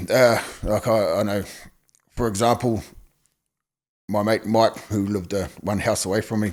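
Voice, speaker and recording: This man has a New Zealand accent and a fairly low pitch, with fairly even intonation. His pace is moderate, broken by long, frequent pauses. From New Zealand, Napier, Hawke's Bay. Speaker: former gang member. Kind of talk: interview testimony. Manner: halting.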